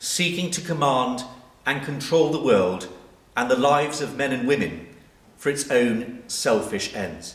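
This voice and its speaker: Noticeable background noise sits behind this voice. A man speaks with lively intonation at a fairly high pitch. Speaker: vicar giving a sermon. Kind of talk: church sermon.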